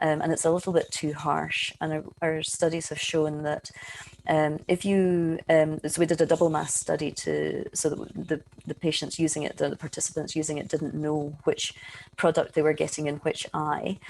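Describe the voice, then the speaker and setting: Speaking with a Scottish accent, a woman has a very deep, low pitch. Her intonation is monotone and flat at a moderate pace. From Scotland. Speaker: eye researcher, professor. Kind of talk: webinar lecture. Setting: online webinar.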